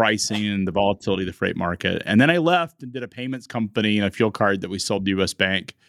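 A man with an American accent and a fairly low pitch, talking at a very fast pace. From United States. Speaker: logistics media company founder. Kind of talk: interview.

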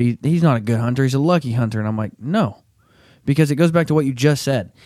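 Very fast speech from a medium-pitched man with a Southern US accent, on a very clean recording with a silent background. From southern Arkansas. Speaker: podcast host. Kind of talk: casual chat; ad read.

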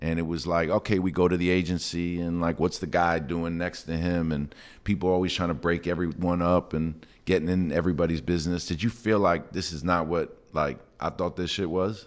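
A man with a New York accent talks at a fairly quick pace in a very deep, low voice with fairly even intonation, on a very clean recording with a silent background. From New York City. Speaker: podcast host, sports executive. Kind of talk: interview. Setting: studio.

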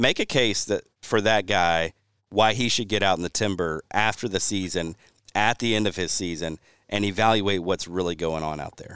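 A man with a Southern US accent, fairly low in pitch with ordinary pitch variation, at a moderate pace, dry and close with no echo on a very clean recording with a silent background. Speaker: podcast host and habitat consultant. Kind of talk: casual chat.

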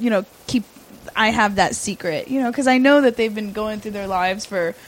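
Speaking at a fairly quick pace and a fairly high pitch, a woman is heard over noticeable background noise. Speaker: sex worker. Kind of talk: casual interview.

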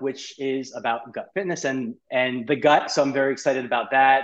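A man with an American accent, medium in pitch. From New York. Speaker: podcast guest, health author. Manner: fast talker.

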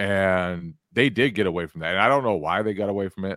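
Delivered at a moderate pace, the speech comes through a very clean recording with a silent background and a dry, close sound with no echo. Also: man. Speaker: sports journalist and podcast host. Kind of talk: casual chat.

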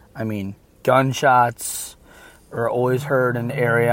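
A man's medium-pitched voice in an American accent, with monotone, flat intonation. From Michigan. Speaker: caller. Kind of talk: recorded personal story.

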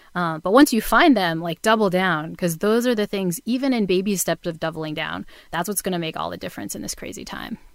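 A woman with an American accent talks in a plain, everyday voice at medium pitch with ordinary pitch variation. She speaks at a fairly quick pace with hardly any pauses on a very clean recording with a silent background. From Massachusetts, New Bedford. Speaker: psychology professor. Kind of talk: casual interview.

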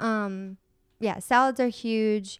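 In a very clean recording with a silent background and a dry, close sound with no echo, a woman with an American accent uses a normal speaking voice, fairly high in pitch with ordinary pitch variation. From Michigan. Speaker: esthetician and spa owner. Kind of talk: interview. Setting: spa.

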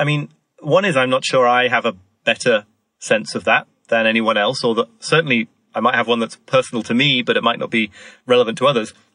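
A man with a northern English accent, a bright, sharp tone, medium pitch, ordinary pitch variation and a very fast pace, in a dry, close sound with no echo. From northern England, York. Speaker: author and former newspaper psychology columnist. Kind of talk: podcast interview.

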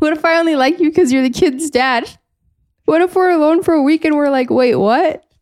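A woman talks at a fairly quick pace with an American accent. Her pitch is high, her loudness very even and her pitch variation ordinary. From California. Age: 20s. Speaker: podcast host. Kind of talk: casual chat.

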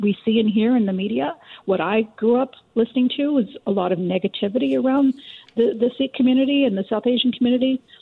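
This woman has an unremarkable speaking voice, fairly high in pitch, and talks at a fairly quick pace with lively intonation. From Richmond, BC, Canada. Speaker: documentary co-producer and author. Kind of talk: radio interview.

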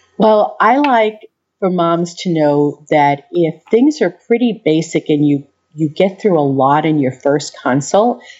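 In an American accent, a woman speaks with a dark, mellow tone and lively intonation. Her pitch is fairly low and her pace moderate. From US Northeast, Long Island, New York. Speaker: lactation consultant. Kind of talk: interview.

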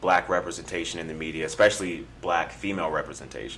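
Through noticeable background noise, a man with a very deep, low pitch talks at a fairly quick pace with fairly even intonation. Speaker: podcast co-host. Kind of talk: casual chat. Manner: soft-spoken.

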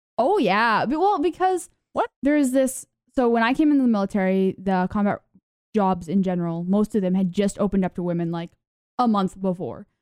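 With an American accent, a woman talks in an ordinary speaking voice at medium pitch, fairly quick in pace and lively in intonation. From US South. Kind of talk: casual chat. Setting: video call.

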